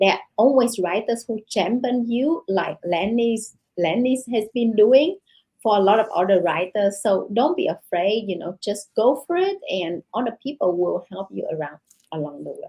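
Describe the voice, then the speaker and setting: A woman talks at a moderate pace with a Vietnamese accent. Her fairly high pitch rides on lively intonation. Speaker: novelist. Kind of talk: interview. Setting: podcast interview. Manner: halting, many fillers.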